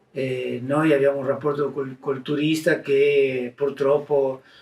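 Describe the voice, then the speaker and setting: Very slowly and in a flat monotone, a man speaks at a fairly high pitch. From Argentina. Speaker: mask maker. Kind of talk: interview answer.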